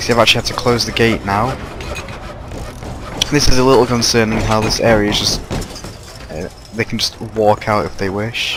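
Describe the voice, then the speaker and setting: A man speaks at a moderate pace in a medium pitch, his intonation fairly even, with long, frequent pauses and noticeable background noise. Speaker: gaming YouTuber. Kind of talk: gameplay commentary. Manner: halting, stuttering.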